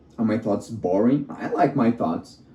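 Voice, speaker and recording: A non-native accent is heard. Delivery moves at a moderate pace. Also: man. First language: not English. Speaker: vlogger. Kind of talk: casual monologue. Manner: halting.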